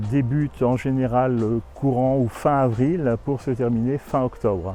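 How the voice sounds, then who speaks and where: In an ordinary speaking voice, a man talks at a fairly slow pace with a medium pitch and ordinary pitch variation. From Burgundy, France. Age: 60s. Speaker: abbey owner. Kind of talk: interview.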